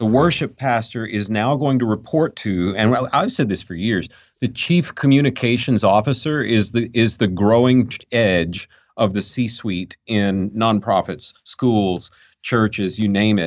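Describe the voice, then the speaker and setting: A man with an American accent talks in a plain, everyday voice at medium pitch and a fairly slow pace. His pitch varies in an ordinary way, and the background is quiet. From Western North Carolina. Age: 50s. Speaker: executive search firm founder. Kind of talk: casual interview conversation.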